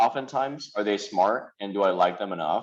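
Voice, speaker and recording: Ordinary pitch variation marks this man's speech. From South Korea, then moved to US at sixteen. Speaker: lecturer and investor. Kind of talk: lecture. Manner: casual, many fillers and restarts.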